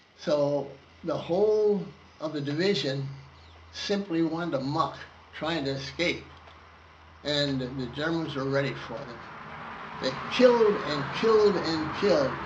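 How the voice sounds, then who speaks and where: A man at a fairly slow pace, with long, frequent pauses, ordinary pitch variation, and noticeable background noise. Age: 80s+. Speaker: war veteran. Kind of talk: interview answer.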